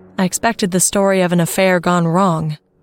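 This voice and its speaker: Music plays in the background. Over it, a woman speaks at a fairly low pitch. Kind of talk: ghost story narration.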